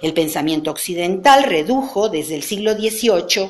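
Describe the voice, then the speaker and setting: A woman's voice rises and falls in a lively way, with audible echo in the room. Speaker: professor. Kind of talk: lecture.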